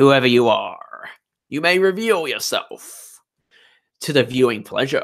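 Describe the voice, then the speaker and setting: Putting on a character voice pitched high for a man, he talks at a fairly slow pace with long, frequent pauses. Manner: silly, pompous, mock-grand.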